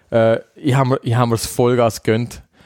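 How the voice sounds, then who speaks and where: A man talks in a Swiss accent. The sound is dry and close, with no echo. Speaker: podcast co-host. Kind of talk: casual chat.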